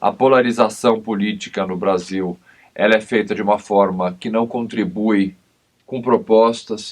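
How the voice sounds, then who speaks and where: Against a quiet background, a man with a plain, everyday voice speaks at a fairly slow pace and fairly low pitch with fairly even intonation. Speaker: criminal lawyer and TV commentator. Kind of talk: TV interview.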